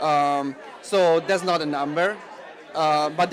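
Over crowd noise in the background, a man with a fairly high pitch talks at a moderate pace with fairly even intonation in a dry sound with no echo. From Italy, Rome. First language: Italian. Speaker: film director. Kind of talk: interview. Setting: film festival. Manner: halting, many fillers. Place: hall. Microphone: handheld.

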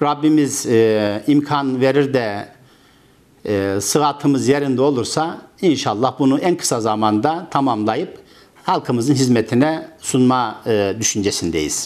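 A man speaks at a very slow pace. His loudness stays very even throughout. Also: ordinary pitch variation. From Turkey, Karaman province (central Anatolia); Turkey. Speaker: construction company owner, former imam. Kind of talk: interview; interview answer. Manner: halting, many filler sounds. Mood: calm, earnest. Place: office. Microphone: lapel.

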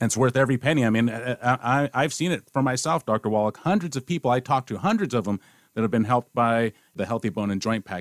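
Talking at a very fast pace in an enthusiastic tone, a man with a medium-pitched voice comes through a very clean recording with a silent background and a dry, close sound with no echo. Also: ordinary pitch variation. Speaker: radio show host. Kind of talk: promotional interview.

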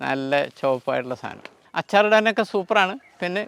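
In a very clean recording with a silent background, a man speaks with a high pitch and ordinary pitch variation. The sound is dry and close, with no echo. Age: 60s. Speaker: retired bank officer turned fruit farmer. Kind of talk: farm tour explanation.

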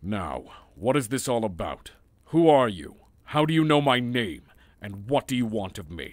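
Speaking at a moderate pace with a medium pitch, a man uses lively intonation, and his loudness swings widely. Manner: blunt, impatient, gruff.

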